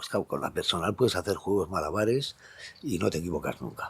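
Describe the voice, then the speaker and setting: A man with a fairly low pitch speaks very fast with lively intonation. His voice is somewhat breathy. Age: 60s. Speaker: astrologer. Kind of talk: casual monologue. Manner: animated.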